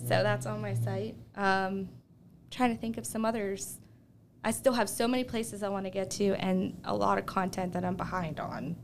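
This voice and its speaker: A voice with vocal fry speaks in an American accent. The pace is moderate and the pitch swings very widely. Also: woman, medium pitch for a woman. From southwestern Pennsylvania, Uniontown. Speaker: travel blogger and speech language pathologist. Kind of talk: casual chat. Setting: studio.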